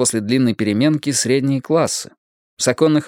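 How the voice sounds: Against a quiet background comes a natural reading voice. Its pitch variation is ordinary.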